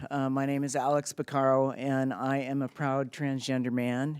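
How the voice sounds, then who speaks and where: This man has a plain, everyday voice with a fairly high pitch and fairly even intonation. The recording is very clean, with a silent background. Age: 60s. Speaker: community group representative. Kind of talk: acceptance speech. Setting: council chamber.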